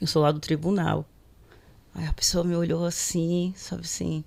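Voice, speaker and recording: This is a woman speaking. Her pitch is fairly low. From northeastern Brazil, Aracaju (Sergipe). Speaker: court social worker and panel moderator. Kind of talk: panel discussion, personal storytelling. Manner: conversational, frequent fillers.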